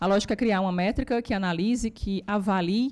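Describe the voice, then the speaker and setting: A woman's medium-pitched voice is heard on a very clean recording with a silent background. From Brazil, Ceará. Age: 30s. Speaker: economist and economics lecturer. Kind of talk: lecture. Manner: fast; animated.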